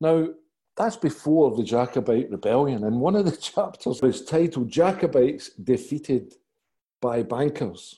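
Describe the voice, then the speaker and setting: Against a quiet background, a man speaks with a Glaswegian accent in a dark, mellow tone. His pitch is fairly high, and his intonation is lively. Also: moderate pace. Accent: Glaswegian Scottish. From Scotland, Glasgow. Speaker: author and podcast interviewer. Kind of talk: interview.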